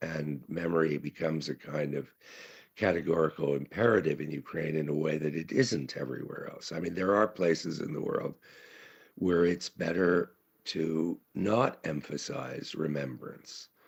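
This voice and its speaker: Using a very deep, low pitch with vocal fry, a man speaks at a moderate pace with ordinary pitch variation. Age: 70s. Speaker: conference speaker, writer. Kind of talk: conference talk. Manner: halting, many fillers.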